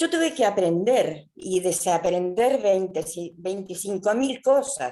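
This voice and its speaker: This voice carries a dark, mellow tone. It moves along fairly slowly. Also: woman. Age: 70s. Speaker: seminar participant. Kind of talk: webinar discussion comment.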